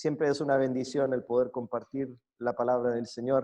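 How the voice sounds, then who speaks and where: This man speaks with a Chilean accent at a medium pitch and a moderate pace. His tone is dark and mellow, and his intonation is monotone and flat. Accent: Chilean accent picked up. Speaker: preacher. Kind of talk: sermon. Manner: hesitant, many fillers and repetitions.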